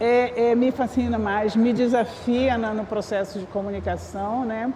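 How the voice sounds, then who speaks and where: A woman talks fairly slowly while clearly audible background noise continues. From northern Brazil, Amapá. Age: 60s. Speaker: communication researcher. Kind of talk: panel discussion. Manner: halting, many restarts.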